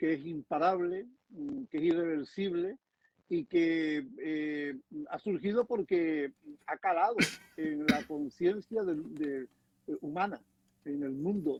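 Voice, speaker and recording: At a very slow pace with long, frequent pauses, a man talks in a high pitch with lively intonation. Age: 60s. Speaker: environmental activist. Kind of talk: panel discussion. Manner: halting.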